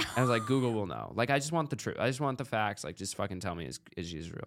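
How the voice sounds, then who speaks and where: A man with an American accent speaks with vocal fry on a very clean recording with a silent background. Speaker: podcast host. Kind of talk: casual interview chat. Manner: casual, profane.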